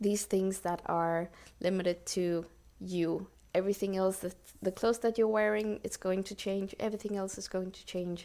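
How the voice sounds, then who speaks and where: A woman with a non-native accent speaks at a moderate pace and medium pitch, her tone dark and mellow and her intonation monotone and flat. Her loudness swings widely, on a very clean recording with a silent background. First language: not English. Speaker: podcast host. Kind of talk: solo podcast talk. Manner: halting, searching for words.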